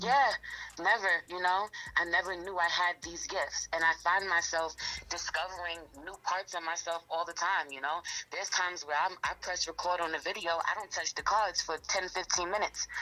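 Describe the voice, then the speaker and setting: A woman's fairly low voice in a New York accent, at a moderate pace with fairly even intonation. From New York, Queens. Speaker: rapper and tarot reader. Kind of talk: interview.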